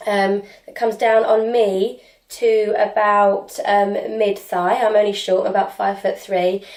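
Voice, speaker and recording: Medium-pitched and flat in intonation, a woman with a British accent speaks at a fairly slow pace. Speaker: fashion YouTuber. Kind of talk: casual haul video talk.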